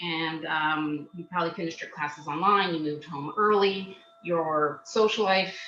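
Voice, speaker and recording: A woman with a fairly low pitch is speaking. Noticeable background noise and audible room echo surround her. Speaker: job search skills coach. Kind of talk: webinar presentation. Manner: loud; fast.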